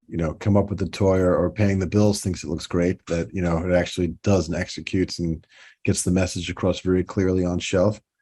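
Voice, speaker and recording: Against a quiet background, a man with a New York accent speaks fairly quickly in a very deep, low pitch, his tone dark and mellow and his intonation monotone and flat. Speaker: toy designer and company president. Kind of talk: podcast interview. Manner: halting, many repeats and fillers.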